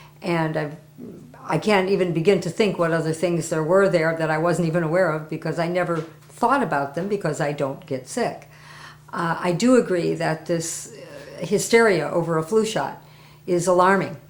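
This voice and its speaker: A woman speaks at a moderate pace and a fairly low pitch. Room echo is audible. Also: ordinary pitch variation. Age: 60s. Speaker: testimonial giver, interpreter. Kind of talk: interview testimony.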